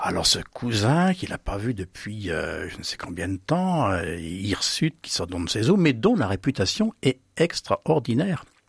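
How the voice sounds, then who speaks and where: A man speaks very slowly at a medium pitch, his voice somewhat breathy and swinging very widely in pitch, with hardly any pauses. The sound is dry and close with no echo, in a very clean recording over a silent background. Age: 70s. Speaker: author. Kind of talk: radio interview. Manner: halting.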